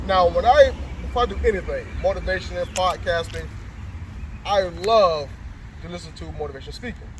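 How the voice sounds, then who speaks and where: A man talking at a fairly quick pace, with big swings in loudness and long, frequent pauses, amid noticeable background noise and audible room echo. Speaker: life coach interviewer. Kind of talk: interview. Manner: animated.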